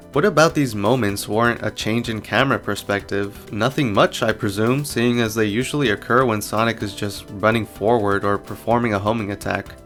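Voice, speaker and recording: With music in the background, a man speaks at a fairly quick pace and medium pitch, with hardly any pauses. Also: fairly even intonation. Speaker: video game analysis creator. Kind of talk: video essay voice-over.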